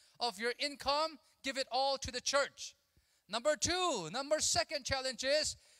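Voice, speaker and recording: Against a quiet background, a man talks at a fairly slow pace in a raised, projected voice of extremely high pitch, bright and sharp in tone, with ordinary pitch variation. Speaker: conference speaker. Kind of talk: sermon. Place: hall. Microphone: handheld.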